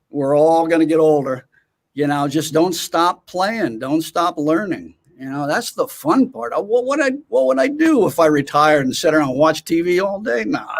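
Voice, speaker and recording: This man has an unremarkable speaking voice, a fairly high pitch and lively intonation. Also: moderate pace. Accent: American. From US West Coast, California (Oakland). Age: 60s. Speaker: drummer and educator. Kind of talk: interview.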